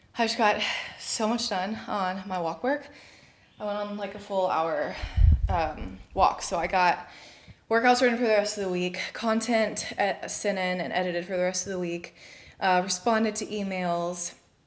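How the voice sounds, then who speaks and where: This woman has a normal speaking voice at medium pitch, with ordinary pitch variation and a moderate pace. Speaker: fitness trainer and mom vlogger. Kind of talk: casual vlog narration. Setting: at home.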